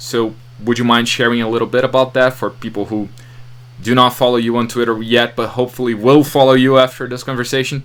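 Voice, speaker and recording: A man's medium-pitched voice with a Portuguese accent, monotone and flat, at a moderate pace. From Brazil. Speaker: podcast host. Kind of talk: interview.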